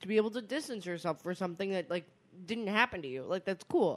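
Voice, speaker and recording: An unremarkable speaking voice from a woman, fairly low in pitch, moves at a fairly quick pace with lively intonation in a very clean recording with a silent background. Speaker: podcast co-host. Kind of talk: casual chat.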